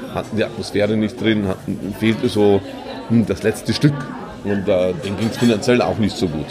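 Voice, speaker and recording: With audible room echo and crowd noise behind him, a man speaks at a moderate pace. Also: fairly low pitch for a man, fairly even intonation. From Bavaria, Kelheim district. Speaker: entrepreneur. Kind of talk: interview. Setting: theatre canteen.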